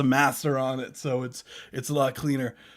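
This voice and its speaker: A man is speaking. His tone is animated. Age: 20s. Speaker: music review livestream host and metal artist. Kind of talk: casual livestream chat. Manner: animated, casual.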